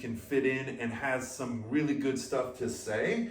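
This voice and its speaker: A man at medium pitch in a monotone, flat intonation, fairly slow in pace, with audible room echo and noticeable background noise. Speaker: podcast co-host. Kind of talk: casual chat. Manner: loud.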